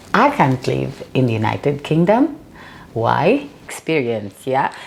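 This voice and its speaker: This woman talks at a fairly slow pace while noticeable background noise plays behind her. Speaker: author and burn survivor. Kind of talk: interview.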